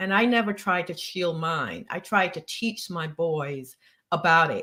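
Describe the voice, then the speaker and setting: At a fairly slow pace, a woman speaks with a fairly low pitch, a bright, sharp tone and ordinary pitch variation. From Barbados. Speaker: family lawyer. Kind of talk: interview.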